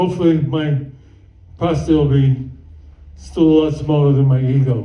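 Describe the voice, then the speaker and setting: Speaking at a moderate pace with long, frequent pauses, a man uses a fairly high, somewhat breathy voice and fairly even intonation, with audible room echo around him. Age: 70s. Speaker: stand-up comedian. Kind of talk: stand-up. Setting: stage with audience.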